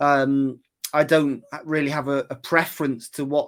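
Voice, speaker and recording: A man with a Welsh accent, fairly high pitch and monotone, flat intonation, on a very clean recording with a silent background. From West Wales. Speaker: golf putting coach. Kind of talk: interview.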